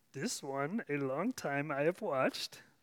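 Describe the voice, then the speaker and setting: This man does a put-on character voice, pitched fairly high and delivered at a fairly slow pace. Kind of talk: inverted word order. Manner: slow, wise.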